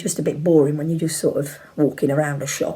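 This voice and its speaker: A woman speaks quietly at a fairly quick pace. Her voice is somewhat breathy. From Leicester, England. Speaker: YouTuber. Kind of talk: casual chat.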